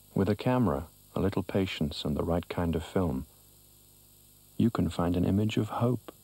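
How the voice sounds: Low in pitch, a man talks with lively intonation in a dark, mellow tone with a slightly husky edge. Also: moderate pace.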